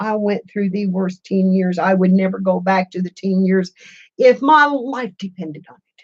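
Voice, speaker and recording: A woman's medium-pitched, somewhat breathy voice with an American accent, lively intonation and a moderate pace. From Missouri. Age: 60s. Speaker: craft YouTuber. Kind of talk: casual live-stream chat. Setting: live stream. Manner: chatty, warm.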